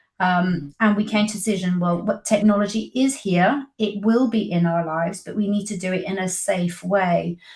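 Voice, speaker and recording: A woman's somewhat breathy, medium-pitched voice at a moderate pace with hardly any pauses. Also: ordinary pitch variation. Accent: British. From Britain. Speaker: publisher of parenting resource. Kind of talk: interview.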